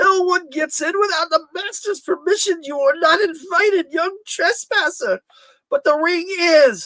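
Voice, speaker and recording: Someone uses a put-on character voice with extremely high pitch at a moderate pace. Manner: cackling, menacing.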